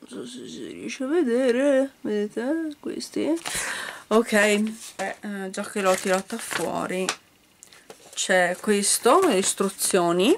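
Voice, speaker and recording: A woman talks at a very slow pace with long, frequent pauses. Her loudness swings widely, and light background noise is present. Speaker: toy reviewer. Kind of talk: casual unboxing chat. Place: home room. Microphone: phone near.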